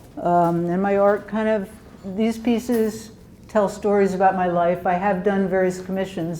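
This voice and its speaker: This woman talks at a fairly quick pace with fairly even intonation and a fairly low pitch. Audible room echo surrounds her voice. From Pennsylvania, Bucks County near Philadelphia. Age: 70s. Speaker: folk artist, wood carver. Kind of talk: artist talk to gallery audience. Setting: gallery with live audience. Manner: halting, many fillers.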